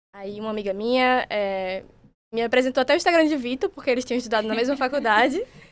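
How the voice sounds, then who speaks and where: Recorded very cleanly against a silent background, a woman speaks at a very fast pace with a high pitch and ordinary pitch variation. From Sergipe, Brazil. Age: 20s. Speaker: psychiatry resident. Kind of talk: casual podcast chat.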